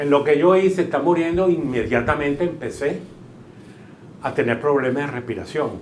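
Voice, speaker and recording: A man with a fairly high-pitched voice talks in a room with audible echo. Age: 70s. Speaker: shopkeeper, covid survivor. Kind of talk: testimony.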